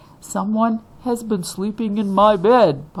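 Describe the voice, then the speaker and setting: Booming, gruff put-on character voice from a woman at a medium pitch and a fairly slow pace. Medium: read story.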